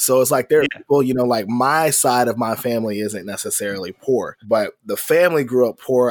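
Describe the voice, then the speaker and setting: A man speaks at a medium pitch and a fairly quick pace, with ordinary pitch variation. He has an unremarkable speaking voice. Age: 30s. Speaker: nerdcore rapper and trombonist. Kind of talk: casual chat.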